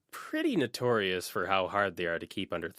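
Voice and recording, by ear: A passage read aloud in a natural voice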